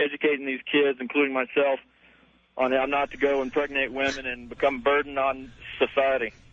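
A man with a Southern US accent, fairly high pitch, flat monotone intonation and a fairly quick pace. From US South. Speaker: caller. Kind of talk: radio call-in conversation. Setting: phone call. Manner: casual.

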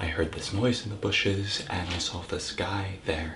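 A man's very deep, low voice at a fairly slow pace, fairly even in intonation, with noticeable background noise. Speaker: actor. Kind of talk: acted monologue.

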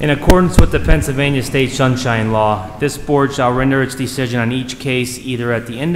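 Noticeable background noise sits behind the speech. A man talks fairly quickly with ordinary pitch variation. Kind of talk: formal procedural announcement. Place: hall. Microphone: podium.

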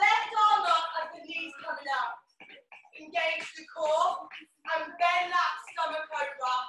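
A woman projects a raised voice with a bright, sharp tone at a very slow pace and ordinary pitch variation. There is audible room echo and light background noise. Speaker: fitness instructor. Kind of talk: workout instruction. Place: home room. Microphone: camera far.

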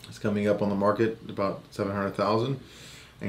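With audible room echo, a man speaks at a fairly quick pace in a slightly mellow tone and a fairly low pitch.

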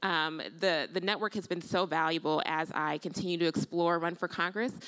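A woman speaks with an American accent in an unremarkable speaking voice, fairly low in pitch. Her pace is moderate, and the background is quiet. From Illinois. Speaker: nurse and potential congressional candidate; candidate. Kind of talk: panel discussion. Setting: stage with audience. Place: stage. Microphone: handheld.

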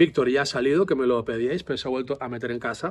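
A man speaks at a very fast pace. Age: 40s. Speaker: psychologist and vlogger; vlogger. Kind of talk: casual vlog monologue. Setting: outdoors. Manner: animated. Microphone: phone near.

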